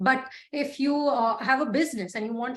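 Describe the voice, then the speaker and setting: A high-pitched female voice. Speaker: LinkedIn coach and freelancer. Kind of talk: online masterclass lecture. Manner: fast.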